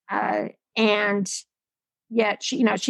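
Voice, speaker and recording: A woman talks at a fairly high pitch with vocal fry and ordinary pitch variation. The sound is dry and close, with no echo. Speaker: corporate executive. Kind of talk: interview.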